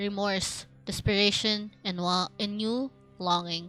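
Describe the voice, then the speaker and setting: A woman uses a put-on character voice at a medium pitch. She talks at a fairly slow pace over faint background music. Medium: virtual streamer. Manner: broken, fragmentary phrases.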